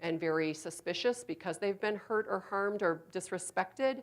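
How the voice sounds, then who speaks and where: The pace of this woman's speech is fairly quick. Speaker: healthcare provider giving a training talk. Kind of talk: presentation to a live audience. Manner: fast.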